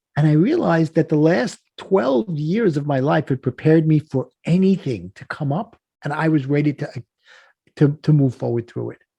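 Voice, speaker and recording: This man has a fairly high pitch, a dark, mellow tone and a somewhat breathy quality, talking at a moderate pace with ordinary pitch variation in a Brooklyn accent, recorded dry and close with no echo. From US Northeast (Brooklyn, New York). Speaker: life coach, podcast guest. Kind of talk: casual interview storytelling. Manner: animated.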